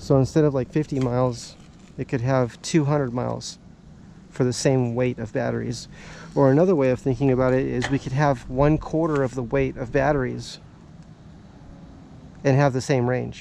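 Against light background noise, a man speaks at a moderate pace with fairly even intonation and long, frequent pauses, the sound dry with no echo. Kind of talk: casual vlog chat. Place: street.

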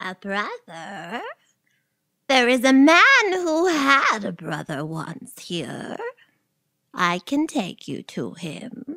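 A woman with a fairly high pitch speaks very slowly, leaving long, frequent pauses. Her loudness swings widely and her pitch swings very widely. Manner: sly, luring.

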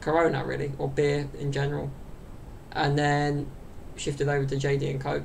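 A man speaks with a southern English accent over light background noise. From southern England, London area. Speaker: YouTuber and podcaster. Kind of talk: casual solo chat to camera. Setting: home recording to camera. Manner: rambling, with many fillers and laughs. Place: home room. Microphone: webcam.

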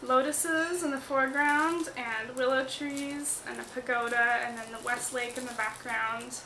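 A raised, projected voice with fairly even intonation, against noticeable background noise. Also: woman. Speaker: vlogger. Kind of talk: casual vlog chat. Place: home room. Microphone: phone near.

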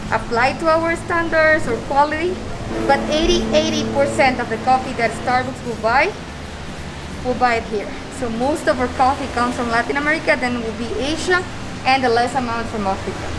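A woman at a moderate pace with ordinary pitch variation and long, frequent pauses, music in the background. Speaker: tour guide. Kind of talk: guided tour explanation. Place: open country.

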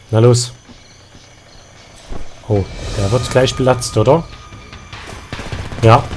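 With music in the background, a man speaks at a very slow pace and medium pitch, with fairly even intonation and long, frequent pauses. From Saxony. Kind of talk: let's play gaming commentary. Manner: casual, chatty.

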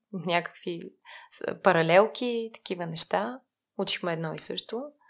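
Speaking fairly slowly, a woman with a fairly low pitch, ordinary pitch variation and vocal fry is heard in a very clean recording with a silent background. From Bulgaria, Lyubimets. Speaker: nonprofit mentoring program manager. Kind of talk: interview conversation.

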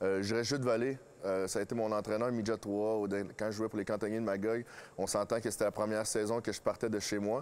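A man with a fairly low pitch talks at a fairly quick pace in a monotone, flat intonation. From Quebec (Drummondville); Quebec. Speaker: hockey coach and former player; interviewee. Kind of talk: interview. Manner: halting. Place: stadium. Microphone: lapel.

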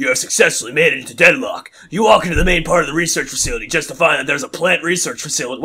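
A man's husky, put-on character voice, high-pitched and delivered at a very fast pace. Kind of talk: dramatic reading of game text.

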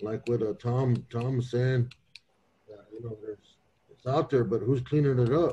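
A man speaks at a moderate pace in a dark, mellow tone that is somewhat breathy. His intonation stays fairly even while his loudness swings widely. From Pine Ridge, South Dakota; South Dakota. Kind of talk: panel discussion. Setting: video call. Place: office. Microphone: video call.

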